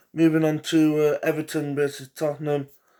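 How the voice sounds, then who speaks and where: A fairly high-pitched man's voice with an English accent and a dark, mellow tone at a moderate pace, on a very clean recording with a silent background. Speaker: football predictions youtuber. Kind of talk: casual solo commentary. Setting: home living room. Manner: hesitant, many fillers.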